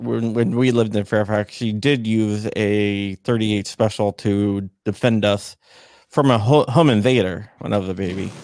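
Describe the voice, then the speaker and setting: Here a man speaks at a medium pitch with an American accent. He has an unremarkable speaking voice and a fairly slow pace. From Northern Virginia, Arlington. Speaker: gun rights advocate. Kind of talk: casual interview.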